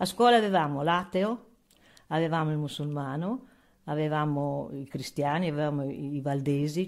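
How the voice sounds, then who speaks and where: Over a quiet background, a woman talks in a very deep, low pitch with ordinary pitch variation. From Asmara, Eritrea (Italian colonial community); Eritrea. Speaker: elderly resident sharing memories; witness. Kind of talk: oral history testimony. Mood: calm, reflective, reminiscing. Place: home room. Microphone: handheld.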